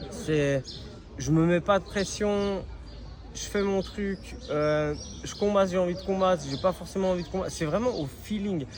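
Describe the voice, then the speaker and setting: Speaking at a moderate pace with long, frequent pauses, a man with a high voice uses ordinary pitch variation over noticeable background noise. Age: 30s. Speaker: professional MMA fighter. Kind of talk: interview. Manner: hesitant, many fillers.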